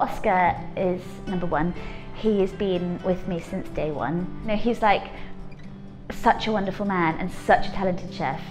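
Over clear music in the background, a woman speaks at a moderate pace with fairly even intonation and long, frequent pauses. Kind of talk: interview answer. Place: cafe.

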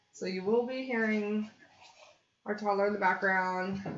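A woman talks at a moderate pace. Audible room echo surrounds her voice. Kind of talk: live stream tutorial chat. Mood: cheerful, laughing. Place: home room.

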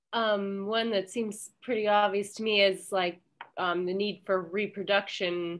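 Fairly slow and fairly even in intonation, the speech comes with light background noise. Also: woman. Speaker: library manager, event organizer. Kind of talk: event moderation. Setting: video call. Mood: friendly, warm. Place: office. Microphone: headset.

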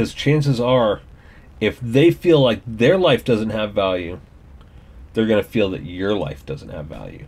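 Speaking with an American accent, a man with a fairly low pitch and vocal fry talks at a fairly slow pace, with very wide pitch swings and big swings in loudness. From US, rural farm. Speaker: YouTuber. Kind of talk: personal opinion monologue. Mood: earnest, serious personal story. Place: home room. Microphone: webcam.

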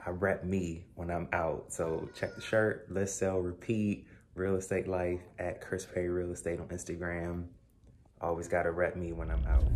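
A man talks with a very deep, low pitch at a moderate pace. His intonation stays fairly even over light background noise. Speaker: realtor vlogger. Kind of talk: casual vlog chat. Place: kitchen. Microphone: phone near.

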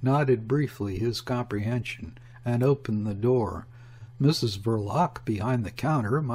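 The pitch shows ordinary variation in this unforced reading voice.

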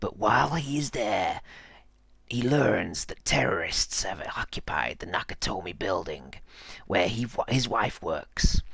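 A man speaks in a raspy, put-on character voice at a fairly slow pace. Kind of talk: movie trailer voice.

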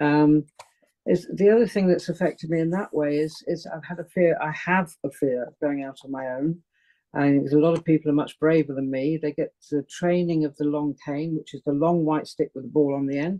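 Against a quiet background, a woman with a British accent speaks at a moderate pace in a very deep, low pitch with fairly even intonation. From UK. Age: 70s. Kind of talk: interview, personal testimony. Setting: video call. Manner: halting, searches for words. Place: home room. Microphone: video call.

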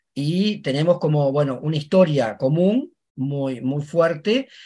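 At a very slow pace, a man with a fairly high voice and ordinary pitch variation speaks against a quiet background. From Uruguay. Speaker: university professor. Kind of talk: academic panel presentation. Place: home room. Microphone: webcam.

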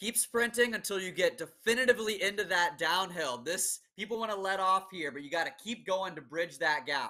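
A man with an American accent projects a raised, high-pitched voice with a bright, sharp tone, lively intonation, big swings in loudness and hardly any pauses. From Orange County, California. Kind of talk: race call shouting. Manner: urgent, loud.

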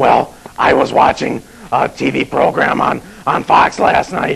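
A man puts on a character voice and keeps to a moderate pace. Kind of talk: comedic low-budget horror host banter.

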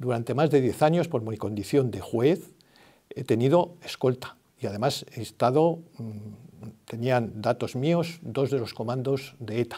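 Over a quiet background, a man at medium pitch talks at a fairly slow pace in a dark, mellow tone with ordinary pitch variation. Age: 70s. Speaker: retired judge. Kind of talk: political endorsement statement. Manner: halting. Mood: calm, earnest. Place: studio.

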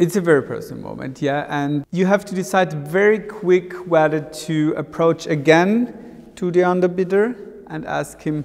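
With big swings in loudness, a man talks at a moderate pace in a high pitch, his pitch varying in an ordinary way. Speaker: auctioneer. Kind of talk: interview answer. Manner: thoughtful, conversational, hesitant at times. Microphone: lapel.

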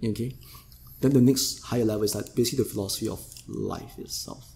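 A man talks at a very fast pace and medium pitch. His tone is dark and mellow, with vocal fry. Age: 40s. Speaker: yoga teacher. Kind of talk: casual interview conversation.

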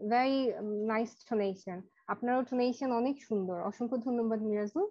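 Against a quiet background, a woman speaks with fairly even intonation at a fairly high pitch. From Bangladesh. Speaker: English teacher. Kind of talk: online class. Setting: video call. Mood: warm, encouraging. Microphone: too quiet on phone; video call.

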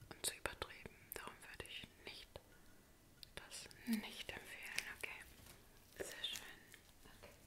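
Whispering, a woman talks at a fairly slow pace. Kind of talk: soft personal-attention role play. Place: home room. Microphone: phone near.

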